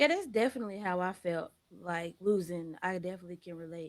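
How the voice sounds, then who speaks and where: A woman speaks softly with an American accent. Her pitch is medium, and it rises and falls in an ordinary way. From Arkansas. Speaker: podcast host. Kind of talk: casual podcast interview. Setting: at home. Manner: soft-spoken.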